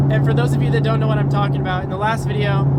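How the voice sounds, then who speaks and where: A man speaks over noticeable background noise. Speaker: car YouTuber. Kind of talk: casual vlog. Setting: in a car. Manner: loud, yelling over car noise.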